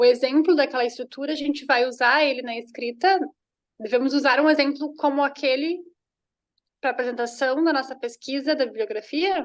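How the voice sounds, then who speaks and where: Using a Portuguese accent, a woman speaks at a high pitch and moderate pace with fairly even intonation. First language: Portuguese (speaking Spanish). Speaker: graduate student. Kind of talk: question in online seminar.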